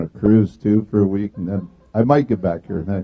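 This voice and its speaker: A man with a Canadian accent uses an ordinary speaking voice at a fairly quick pace with fairly even intonation. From Canada, Calgary. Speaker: visiting rotarian, past club president. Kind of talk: short informal remarks.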